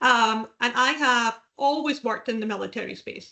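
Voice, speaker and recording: Speaking at a moderate pace in a Scottish accent, a woman keeps her fairly high-pitched voice at fairly even intonation. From Scotland. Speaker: veterans recruitment professional. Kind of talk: podcast interview.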